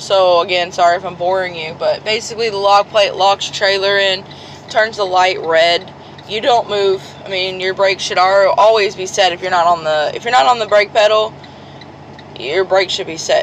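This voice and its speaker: At a moderate pace, a woman of medium pitch speaks with fairly even intonation over noticeable background noise. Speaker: truck driver vlogger. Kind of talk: casual vlog explanation.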